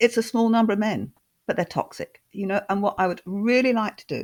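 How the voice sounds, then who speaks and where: In a Scottish accent, a woman speaks at a fairly quick pace with ordinary pitch variation. The recording is very clean, with a silent background. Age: 60s. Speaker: housing advocate and author. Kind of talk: podcast interview.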